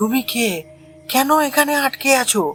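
Faint music sits behind a cartoonish character voice pitched high.

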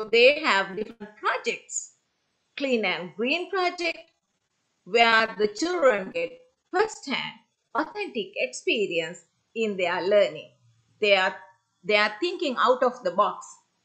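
A woman with a fairly high voice and a bright, sharp tone speaks at a very slow pace, with very wide pitch swings and long, frequent pauses, over a quiet background. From Sri Lanka. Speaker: senior lecturer. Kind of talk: conference presentation. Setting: video call. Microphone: video call.

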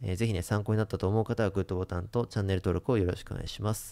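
A man talks very fast in a dark, mellow tone. The background is quiet. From Japan. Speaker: investment YouTuber. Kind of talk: monologue to camera; commentary to camera. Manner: many filler sounds. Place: home room. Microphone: studio mic.

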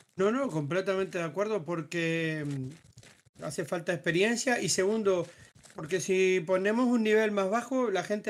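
A man's high voice comes at a moderate speed with normal rise and fall in pitch, captured in a very clean recording against a silent background. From Uruguay. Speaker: gaming group member. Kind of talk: casual group discussion.

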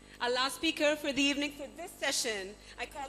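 With a raised, projected voice, a woman speaks at a moderate pace, her high pitch showing ordinary variation. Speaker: event emcee. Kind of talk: formal introductions. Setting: stage with audience.

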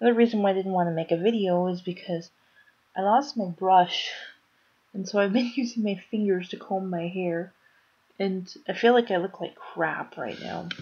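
The voice has a weary, dark and mellow tone, moving at a moderate pace with ordinary pitch variation. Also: woman. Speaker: vlogger. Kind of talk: casual vlog chat. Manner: low, weary late-night voice in bed. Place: home room. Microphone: webcam.

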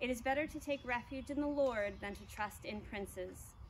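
Against light background noise, a woman with a high pitch speaks at a moderate pace with lively intonation. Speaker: church service leader. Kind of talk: church announcements. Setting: outdoors. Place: garden.

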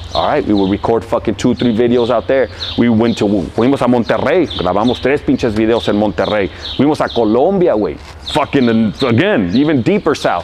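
An animated man at a fairly quick pace, with very wide pitch swings over light background noise. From Los Angeles, California. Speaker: rapper. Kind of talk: interview answer. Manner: casual, profane, animated. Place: street.

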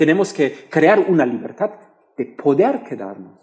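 Against a quiet background, a man with a German accent speaks at a very slow pace. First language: German (speaking Spanish). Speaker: political science professor. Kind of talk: panel discussion; panel discussion answer. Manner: halting. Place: hall. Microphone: headset.

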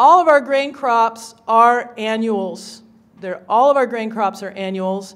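A woman with an American accent speaks at a moderate pace and a fairly high pitch, with ordinary pitch variation. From Kansas, US Great Plains. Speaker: session moderator and conservationist; conference presenter. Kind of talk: conference talk. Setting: stage with audience. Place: hall. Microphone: podium.

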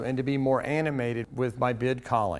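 A man talks at a moderate pace. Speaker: auctioneer. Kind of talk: casual talk to camera, promotional pitch. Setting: fundraising auction events. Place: studio. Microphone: headset.

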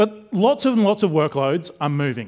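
Against a quiet background, a man talks at a moderate pace. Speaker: conference presenter. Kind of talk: lecture. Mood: jokey, relaxed. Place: stage. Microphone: headset.

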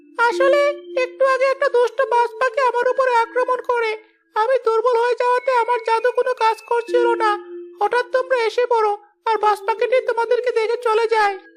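In a cartoonish character voice at an extremely high pitch, the speaker moves along at a moderate pace. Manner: gentle, earnest.

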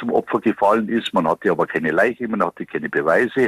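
The speaker has a Bavarian accent. The sound is dry and close, with no echo. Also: man. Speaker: police detective. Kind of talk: interview answer.

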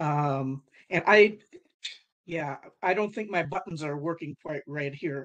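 Against a quiet background, the speaker keeps a moderate pace. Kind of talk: meeting self-introduction. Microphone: video call.

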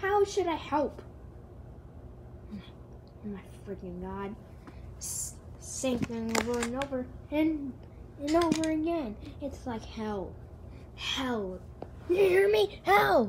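Clear background noise sits behind a woman with a high pitch. She talks at a fairly slow pace, with long, frequent pauses. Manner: frustrated ranting, sarcastic.

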